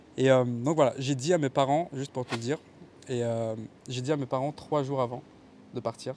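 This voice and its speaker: A man at medium pitch talks at a moderate pace with fairly even intonation and long, frequent pauses. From Kabylie, Algeria. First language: Kabyle (speaking French). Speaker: videographer. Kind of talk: interview testimony. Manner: hesitant, many fillers.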